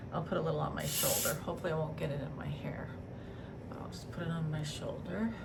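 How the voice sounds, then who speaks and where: Noticeable background noise and audible room echo surround a woman's voice. Her pitch rises and falls in an ordinary way. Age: 60s. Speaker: beauty vlogger. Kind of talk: casual chat.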